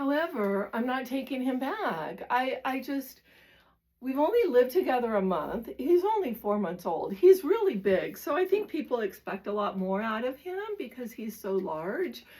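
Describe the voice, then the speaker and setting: A high-pitched woman at a moderate pace, with very wide pitch swings. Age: 60s. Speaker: lifestyle vlogger. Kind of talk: casual talk to camera. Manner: halting, with fillers.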